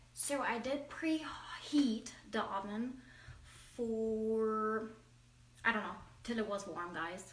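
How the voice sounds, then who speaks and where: A woman speaks very slowly at a fairly high pitch, with long, frequent pauses. Noticeable background noise and audible room echo fill the recording. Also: ordinary pitch variation. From Germany. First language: German. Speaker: home cooking vlogger. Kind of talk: cooking tutorial. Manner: halting.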